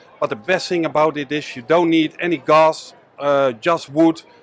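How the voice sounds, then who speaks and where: Over noticeable background noise, with a dry, close sound and no echo, a man with a Dutch accent speaks at a fairly high pitch with fairly even intonation. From Netherlands. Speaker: business owner. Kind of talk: sales pitch. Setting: trade show.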